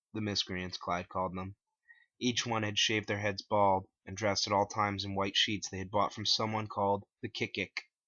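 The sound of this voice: Fairly low pitch from a man, bright and sharp in tone, with little pitch movement.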